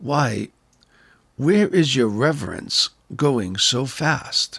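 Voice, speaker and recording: A man puts on a raspy character voice, fairly high in pitch with very wide pitch swings, speaking at a very slow pace in a very clean recording over a silent background. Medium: read story.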